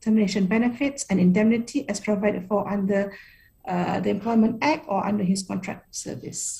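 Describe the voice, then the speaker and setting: A woman speaks at a medium pitch with a dark, mellow tone. Her voice is somewhat breathy. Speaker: workshop presenter on labour law. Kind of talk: presentation. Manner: fast.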